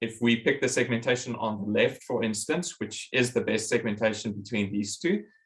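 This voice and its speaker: A man's medium-pitched, a normal speaking voice with ordinary pitch variation. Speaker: professor. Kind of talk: lecture.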